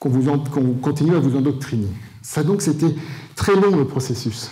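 With a dark, mellow tone and a somewhat breathy quality, a man talks at a very slow pace amid audible room echo. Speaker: conference speaker. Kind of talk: lecture. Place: hall. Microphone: handheld.

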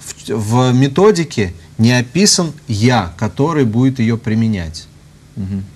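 A man's somewhat breathy voice at a very slow pace. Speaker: priest. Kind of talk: interview answer. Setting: studio. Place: studio. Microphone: lapel.

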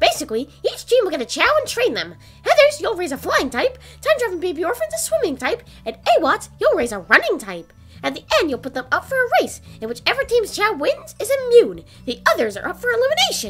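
Over faint music in the background, a cartoonish character voice squeaks at an extremely high pitch. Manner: eager, upbeat, blunt.

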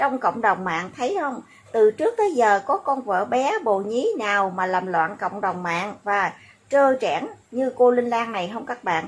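Lively, fairly high female speech at a moderate tempo. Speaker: YouTube commentary vlogger. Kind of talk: monologue commentary video. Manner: animated.

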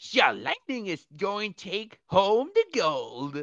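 Putting on a character voice that sounds female, the speaker goes at a fairly slow pace and a medium pitch for a woman. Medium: audio drama. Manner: upbeat, boisterous.

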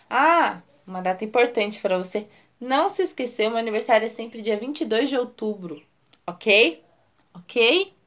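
An animated tone at a fairly slow pace, with ordinary pitch variation. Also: woman. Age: 20s. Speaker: YouTuber. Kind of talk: vlog self-introduction. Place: home room. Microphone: phone near.

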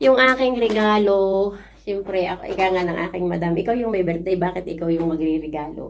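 At a fairly quick pace, a woman of medium pitch talks in a normal speaking voice with ordinary pitch variation. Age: 50s. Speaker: overseas worker vlogger. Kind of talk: casual vlog thank-you message.

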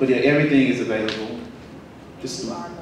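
A man is speaking. There is strong room echo and light background noise. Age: young. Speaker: spoken word poet and visual artist. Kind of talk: spoken word poetry performance. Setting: stage with audience. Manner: loud.

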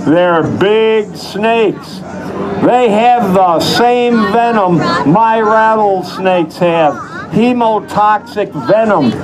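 Noticeable background noise sits behind a man whose high voice shows ordinary pitch variation. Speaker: rattlesnake show presenter. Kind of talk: live show patter to audience. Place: stage. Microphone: pa.

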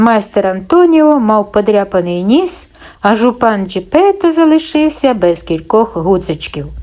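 What we hear is a natural reading voice.

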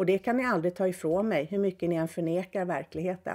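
A woman speaks at medium pitch with a dark, mellow tone against a quiet background. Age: 60s. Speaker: podcaster. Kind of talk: monologue. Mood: critical, indignant. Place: home room. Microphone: webcam.

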